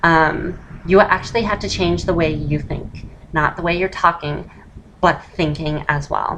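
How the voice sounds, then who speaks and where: A woman speaks at a fairly slow pace with fairly even intonation and a fairly low pitch. Noticeable background noise runs underneath. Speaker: voice feminization tutor. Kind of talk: casual tutorial talk to camera. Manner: switches between masculine and feminine voice.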